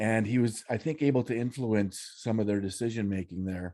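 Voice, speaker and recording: A man in a Canadian Prairie accent, dark and mellow in tone, medium in pitch with ordinary pitch variation, against a quiet background. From Saskatchewan, Canada. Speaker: freedom activist. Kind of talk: interview testimony. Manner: halting, many fillers.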